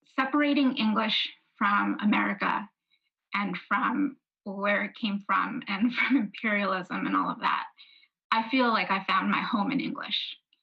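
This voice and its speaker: At a fairly slow pace, a woman with a New York accent speaks at fairly high pitch, her tone bright and sharp with vocal fry. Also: ordinary pitch variation. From New York City (Brooklyn and Queens). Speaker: author. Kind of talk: book talk conversation.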